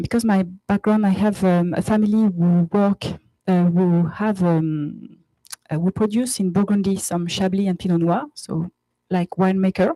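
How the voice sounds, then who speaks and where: In a French accent, a woman at medium pitch speaks at a fairly slow pace in a dark, mellow tone, her intonation fairly even and her loudness very even, with a dry, close sound and no echo. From France, Paris. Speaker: company co-founder. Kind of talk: conference presentation. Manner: halting, many fillers.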